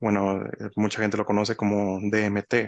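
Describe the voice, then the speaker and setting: The sound is dry and close with no echo, over a quiet background. A man speaks in a fairly low pitch. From Mexico. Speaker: spiritual teacher. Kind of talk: monologue talk. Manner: halting, many fillers and restarts.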